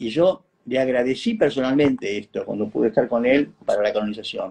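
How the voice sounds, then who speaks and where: The man's tone is dark and mellow. His pitch is medium. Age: 60s. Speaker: researcher of a religious figure, descendant and devotee. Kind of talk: interview.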